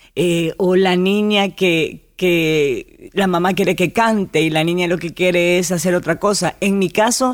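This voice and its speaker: Recorded very cleanly over a silent background, a woman speaks at a very slow pace and medium pitch with ordinary pitch variation. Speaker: actress and TV presenter. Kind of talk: interview. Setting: radio studio.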